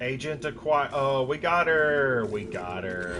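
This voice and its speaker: An American accent comes through with music playing in the background. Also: man. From Kentucky, US. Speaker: video game streamer. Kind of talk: casual live-stream chat.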